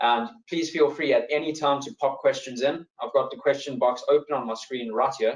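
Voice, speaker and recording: A man with a South African accent speaks at a moderate pace. He hardly pauses at all. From South Africa, East London. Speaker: wealth manager. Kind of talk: webinar presentation.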